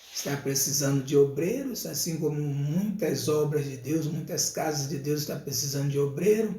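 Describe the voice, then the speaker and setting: Audible room echo and noticeable background noise surround the recording. A man with a fairly high pitch talks at a moderate pace with ordinary pitch variation. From Rio de Janeiro, Brazil. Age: 60s. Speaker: evangelist preacher. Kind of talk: casual live stream talk with church announcements. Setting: live stream.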